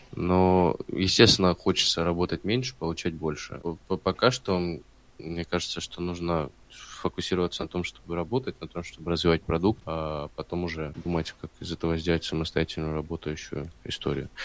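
A man talks at a moderate pace in a very deep, low voice. His intonation stays fairly even. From southern Russia, Stavropol. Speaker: startup co-founder. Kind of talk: casual interview. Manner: hesitant, many fillers.

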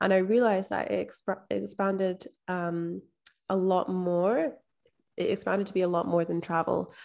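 The speaker talks in a Scottish accent. The pace is moderate. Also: woman, very clean recording, silent background. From Scotland. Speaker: mindset and manifestation coach. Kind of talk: interview.

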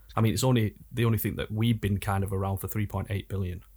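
Very fast, somewhat breathy male speech with fairly even intonation, in a very clean recording with a silent background. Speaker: rapper. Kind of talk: casual chat. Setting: studio.

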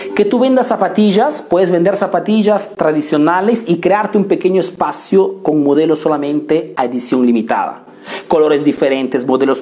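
An animated tone with lively intonation, very even loudness and a moderate pace, over noticeable background noise. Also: man. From Italy, Peruvian family. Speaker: business coach. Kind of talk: live stream business tutorial.

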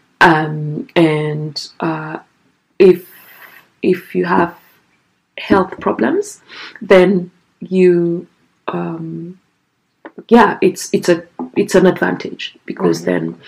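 The speaker has a Kenyan accent and a very slow pace. Long pauses come often. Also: woman. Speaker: guest being interviewed. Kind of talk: casual interview conversation.

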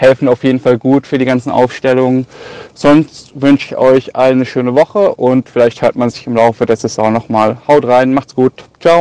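This man has an unremarkable speaking voice at a medium pitch, with fairly even intonation. He talks at a moderate pace in a dry, close recording with no echo. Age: 20s. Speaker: listener and fantasy football player. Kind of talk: recorded voice message.

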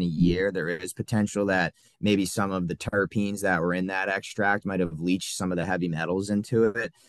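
Speaking at a moderate pace against a quiet background, a man uses a fairly low pitch. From Massachusetts, south of Boston. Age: 20s. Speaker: vape hardware sales manager. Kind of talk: casual chat. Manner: hesitant, frequent uh fillers.

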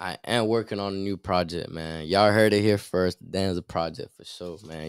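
A man with an American accent speaks at a moderate pace in a fairly low pitch, with a dry, close sound with no echo and a very clean recording over a silent background. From Miami, Florida. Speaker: rapper. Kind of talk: interview.

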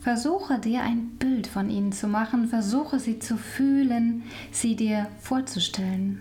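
The voice is calm and soothing at a very slow pace, with noticeable background noise. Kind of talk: guided meditation. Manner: slow, calm, soothing; soft-spoken, with long pauses.

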